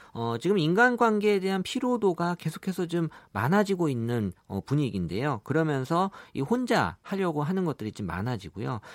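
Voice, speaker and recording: Fairly high-pitched man's voice with very wide pitch swings at a moderate pace, dry and close with no echo, on a very clean recording with a silent background. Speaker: big data analyst, company executive. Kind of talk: radio interview.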